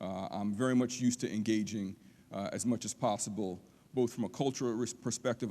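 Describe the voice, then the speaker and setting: On a very clean recording with a silent background, a dark, mellow voice moves at a fairly quick pace with fairly even intonation. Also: man. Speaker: college lecturer. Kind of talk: public lecture. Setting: auditorium with audience. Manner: fast.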